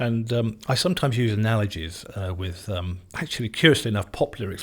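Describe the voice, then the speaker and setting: Very fast, somewhat breathy speech from a man on a very clean recording with a silent background. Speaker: former radio DJ, news correspondent; interviewee giving advice. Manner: hesitant, uses fillers.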